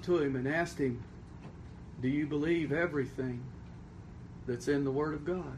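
There is a somewhat breathy quality to this man's voice. His speech carries an audible room echo. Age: 40s. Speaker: pastor. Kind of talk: sermon.

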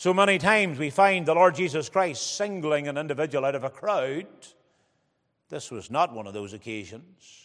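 A man with a fairly high pitch speaks in a plain, everyday voice at a moderate pace, with lively intonation and big swings in loudness. The recording is very clean, with a silent background. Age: 40s. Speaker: preacher. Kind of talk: sermon. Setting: church.

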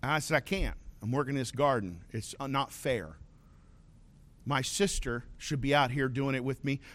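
A man with a medium-pitched voice and vocal fry talks at a moderate pace, with ordinary pitch variation. Long, frequent pauses break up his speech in a very clean recording with a silent background. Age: 50s. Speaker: pastor. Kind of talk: sermon. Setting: church.

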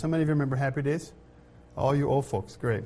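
A man's voice sits at a fairly high pitch. It comes across somewhat breathy. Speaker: pastor. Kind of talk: sermon. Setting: church.

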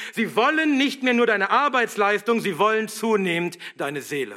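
Raised and projected, a man's high-pitched voice has a bright, sharp tone. His pitch swings very widely as he speaks at a moderate pace. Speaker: pastor. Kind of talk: sermon, fiery and combative, rallying the congregation to stand firm. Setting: church. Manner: forceful, emphatic, exhorting; rousing, militant, driving rhetorical questions.

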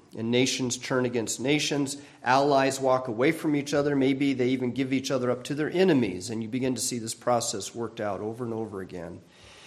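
The speaker talks at a fairly quick pace with ordinary pitch variation. Room echo is audible. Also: man. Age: 60s. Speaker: pastor. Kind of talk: sermon.

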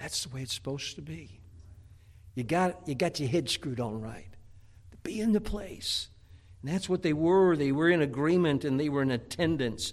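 A man with an unremarkable speaking voice talks at a moderate pace in a fairly high pitch. His intonation is lively, and his loudness swings widely. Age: 60s. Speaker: pastor. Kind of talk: sermon. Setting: church.

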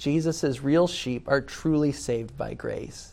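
A man with an American accent speaks at a fairly high pitch in a dark, mellow tone. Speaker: pastor. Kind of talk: sermon.

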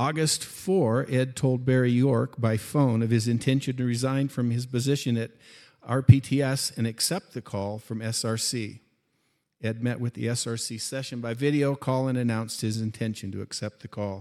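In a very clean recording with a silent background, a man speaks at a moderate pace and medium pitch, his dark, mellow tone carrying fairly even intonation. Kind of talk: reading aloud. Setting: church.

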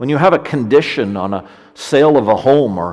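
This man has a Canadian accent. His intonation is lively. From Canada, Ontario. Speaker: pastor. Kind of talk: sermon. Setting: church.

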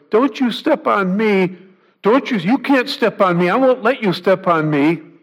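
A squeaky, put-on character voice moves at a moderate pace. The recording is very clean, with a silent background. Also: man, high pitch for a man. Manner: indignant, pleading.

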